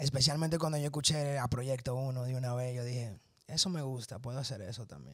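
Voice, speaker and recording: Against a quiet background with a dry sound and no echo, a man at medium pitch talks at a fairly quick pace, somewhat breathy, his intonation fairly even. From New York. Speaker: guest. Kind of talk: interview. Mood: relaxed, personal storytelling. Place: studio. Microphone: handheld.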